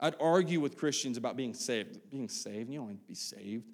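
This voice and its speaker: A man with an Appalachian accent speaks in a dark, mellow tone with very wide pitch swings. The recording is very clean, with a silent background. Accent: Appalachian American. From US, West Virginia. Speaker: pastor. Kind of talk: sermon. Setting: church service with congregation. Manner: casual, halting with fillers.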